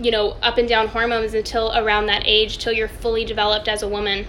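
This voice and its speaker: At a very fast pace, a woman speaks with a fairly high pitch. Noticeable background noise is present. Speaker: wellness coach. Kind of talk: live Q&A stream. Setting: Instagram live video.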